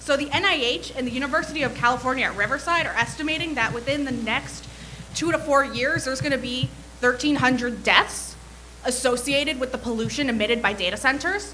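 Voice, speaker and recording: With an American accent, a woman uses a raised, projected voice at a high pitch and a very fast pace, with ordinary pitch variation, over noticeable background noise. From New Jersey (Bergen County). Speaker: public commenter. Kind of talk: public comment at a meeting. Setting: city planning commission meeting.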